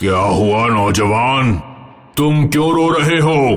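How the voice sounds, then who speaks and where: Over clear background music, a man does a cartoonish character voice at medium pitch, speaking fairly slowly with lively intonation. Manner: calm, paternal.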